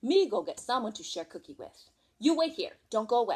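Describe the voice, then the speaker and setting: A woman puts on a character voice at a high pitch. She moves at a fairly quick pace. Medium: read story. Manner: broken grammar, says me instead of I.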